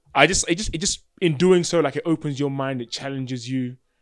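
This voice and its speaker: A man with an English accent over music in the background. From England. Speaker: podcast and radio host, rapper, videographer. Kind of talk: casual interview chat. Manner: stutters when speaking fast or excited; halting, many fillers.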